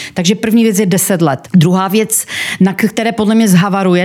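A woman speaks at a moderate pace with an Ostrava accent. Background noise is noticeable. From Czechia, Ostrava. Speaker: company co-owner. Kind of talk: interview.

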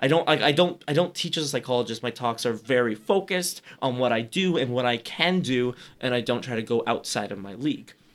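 Using lively intonation, a man speaks fairly quickly at a medium pitch. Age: 20s. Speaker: marketing podcast co-host and public speaker. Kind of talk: casual chat.

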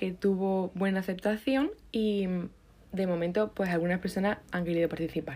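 A woman with a dark, mellow tone and medium pitch speaks at a moderate pace with ordinary pitch variation. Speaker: podcast host. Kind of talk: scripted intro.

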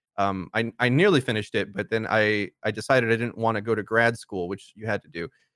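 In an American accent, a man with a fairly low pitch talks at a very fast pace with hardly any pauses and fairly even intonation, the sound dry and close with no echo. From US Midwest, Milwaukee. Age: 20s. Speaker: YouTube content creator. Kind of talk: casual interview chat. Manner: straightforward.

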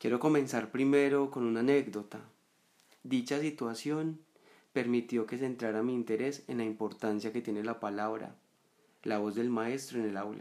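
A man speaks at medium pitch and a moderate pace. His tone is dark and mellow, with fairly even intonation. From Colombia, Medellín. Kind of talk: reflective monologue.

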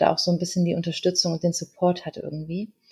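A woman with a fairly low pitch speaks in a somewhat breathy, dark and mellow tone with monotone, flat intonation. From North Rhine-Westphalia, Germany. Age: 30s. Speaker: educator and life coach, single mother. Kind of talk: interview.

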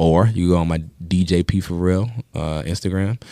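A man with an American accent speaks in a very deep, low voice with a dark, mellow tone. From Long Island, New York. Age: 30s. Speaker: DJ. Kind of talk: casual chat.

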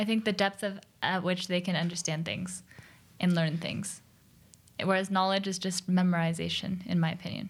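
Somewhat breathy, a woman speaks at a moderate pace in a monotone with flat intonation. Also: medium pitch for a woman. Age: 20s. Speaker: streamer and professional gamer. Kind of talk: casual podcast chat. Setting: studio with cameras.

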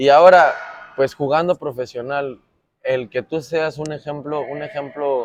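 A man's fairly high voice moves at a fairly slow pace with fairly even intonation but big swings in loudness. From Mexico City. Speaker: professional basketball player. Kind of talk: casual interview chat. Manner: repetitive, halting with many restarts.

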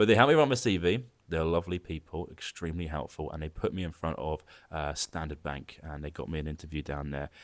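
A man with a Jersey accent at a fairly quick pace. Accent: British English, Jersey. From Jersey (Channel Islands). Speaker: AI and data consultant. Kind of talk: interview, personal story.

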